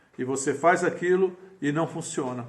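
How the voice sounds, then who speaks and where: A man talks with ordinary pitch variation, and audible room echo surrounds the voice. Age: 60s. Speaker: pastor. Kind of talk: sermon. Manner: halting.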